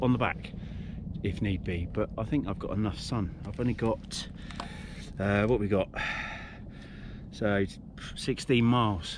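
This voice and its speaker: The speech is fairly slow, with long, frequent pauses and ordinary pitch variation. The sound is dry with no echo, and noticeable background noise is present. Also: man, fairly low pitch for a man. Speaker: cycling vlogger. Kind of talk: casual vlog chat. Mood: chatty, slightly rueful. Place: bicycle. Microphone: phone near.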